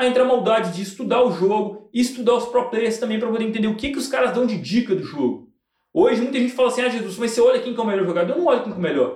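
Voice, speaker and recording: Talking at a very fast pace, a man has an extremely high pitch with ordinary pitch variation. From Belo Horizonte, Brazil. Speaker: sports betting tipster and entrepreneur. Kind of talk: casual interview chat. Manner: slangy, street-style casual speech.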